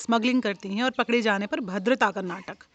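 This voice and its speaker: A woman with a fairly high pitch and ordinary pitch variation has a normal speaking voice, captured with a dry, close sound with no echo. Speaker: storyteller. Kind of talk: short story reading. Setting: outdoors, garden with birdsong.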